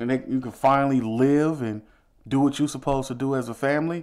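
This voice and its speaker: The delivery is fairly quick and animated in tone. The recording is very clean, with a silent background. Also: man. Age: 30s. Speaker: podcast host. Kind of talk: angry relationship rant, heated monologue. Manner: animated, emphatic, forceful.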